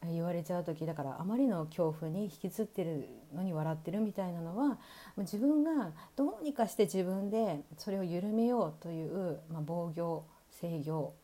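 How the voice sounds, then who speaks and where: On a very clean recording with a silent background, a dark, mellow voice moves at a moderate pace with lively intonation. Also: woman, fairly low pitch for a woman. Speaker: radio podcaster and body coach. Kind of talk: solo monologue podcast. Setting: recorded at night. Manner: loud; laughs often.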